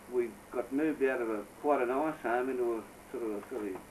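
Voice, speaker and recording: With a strong Australian accent, a man speaks with ordinary pitch variation. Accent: broad Australian. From Australia, New South Wales. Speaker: family elder recounting memories. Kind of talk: oral history interview. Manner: hesitant, filled with uh.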